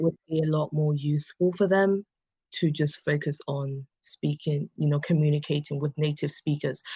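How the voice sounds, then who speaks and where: A woman in an English accent speaks fairly slowly in a very deep, low, somewhat breathy voice with monotone, flat intonation, the sound dry and close with no echo against a quiet background. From England. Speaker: English conversation tutor. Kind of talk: interview answer.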